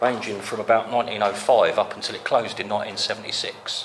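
Light background noise behind a man at a moderate pace. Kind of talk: casual exploration commentary. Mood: curious, musing. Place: tunnel cave. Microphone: phone near.

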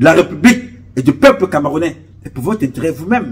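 Using vocal fry, a man with a fairly high pitch swings his pitch very widely. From Cameroon, Centre region (Beti). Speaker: activist and charity founder; political commentator. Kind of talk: political monologue. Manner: impassioned. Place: home room. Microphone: phone near.

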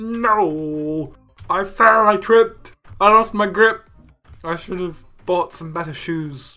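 Faint music plays behind a man doing a put-on character voice with a high pitch at a fairly slow pace. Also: ordinary pitch variation. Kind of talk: comic overacting. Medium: game stream. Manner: whiny, lovesick.

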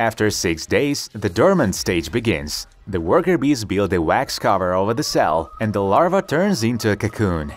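Against noticeable background noise, a man with a fairly low pitch speaks at a moderate pace with hardly any pauses, his pitch swinging very widely. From Ukraine. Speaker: DIY experiment video host. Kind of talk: documentary-style voice-over narration.

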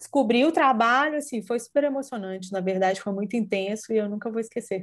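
A woman speaks in a fairly high voice against a quiet background. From Brazil, Minas Gerais (Belo Horizonte); Minas Gerais, Brazil. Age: 40s. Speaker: art curator; interviewee. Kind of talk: interview. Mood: warm, animated. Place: home room. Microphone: earbuds.

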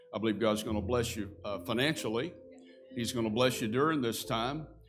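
The pitch moves in an ordinary way while faint music plays in the background. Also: man. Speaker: pastor. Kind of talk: sermon. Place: church. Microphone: lapel.

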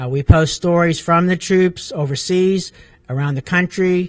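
Against a quiet background, a man with a high pitch talks at a moderate pace in fairly even intonation. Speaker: talk show host. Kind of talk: talk show introduction. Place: meeting room. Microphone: handheld.

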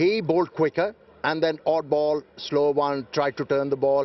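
The man's pitch sits fairly high. He speaks at a moderate pace.

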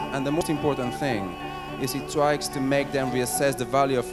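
A man talks at a moderate pace while clear music plays behind him. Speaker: event founder and host. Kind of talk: launch event welcome speech to an audience. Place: hall. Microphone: handheld.

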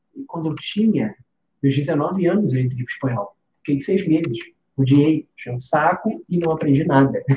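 Amid light background noise and audible room echo, a man with a fairly high, dark, mellow voice speaks at a moderate pace with lively intonation. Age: 30s. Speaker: music teacher. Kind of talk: live stream lesson. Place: home room.

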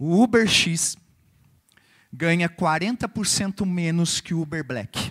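The speech is very slow, with long, frequent pauses and ordinary pitch variation, set against a quiet background. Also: man, high pitch for a man. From Brazil. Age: 50s. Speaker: financial coach. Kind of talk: motivational talk. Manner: short phrases with pauses for interpreter. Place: hall.

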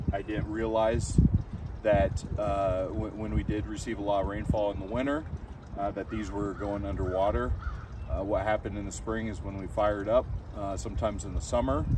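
A man speaks at a fairly low pitch and a moderate pace. The sound is dry with no echo, though background noise is noticeable. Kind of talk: tutorial. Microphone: camera far.

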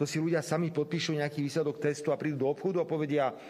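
His delivery comes fairly quickly, and the man keeps his intonation fairly even. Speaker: party politician. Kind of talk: press conference statement. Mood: indignant, combative. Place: hall. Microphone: headset.

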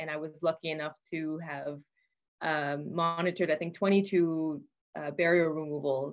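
A woman with a plain, everyday voice speaks at a fairly low pitch and a moderate pace, her intonation fairly even against a quiet background. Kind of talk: interview answer. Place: office. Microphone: video call.

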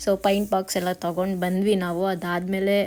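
At medium pitch, a woman speaks in a flat monotone. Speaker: vlogger. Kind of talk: vlog narration. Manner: casual.

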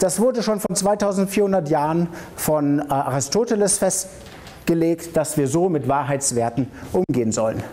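Faint background noise sits under a man's fairly high, dark and mellow voice as he talks at a moderate pace with lively intonation and few pauses.

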